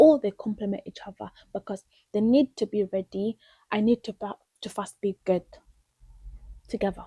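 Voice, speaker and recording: A woman's somewhat breathy voice, fairly high in pitch with ordinary pitch variation, in a dry, close sound with no echo. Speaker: vlogger. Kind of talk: casual chat. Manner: halting.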